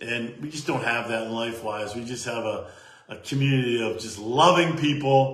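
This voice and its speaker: Over noticeable background noise and audible room echo, the speaker sounds animated, with big swings in loudness. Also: man, medium pitch for a man, ordinary pitch variation, moderate pace. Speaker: network marketing leader. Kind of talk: live stream team call.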